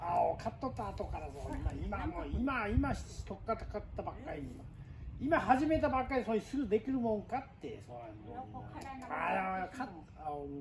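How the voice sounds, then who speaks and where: Against noticeable background noise, a man with a Nagasaki accent speaks at a moderate pace with big swings in loudness. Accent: Goto dialect. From Goto Islands, Nagasaki, Japan. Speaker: fisherman. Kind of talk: casual talk to camera. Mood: teasing, exasperated. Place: garden. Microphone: camera far.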